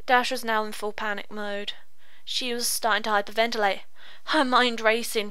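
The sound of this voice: An unforced reading voice delivered with fairly even intonation.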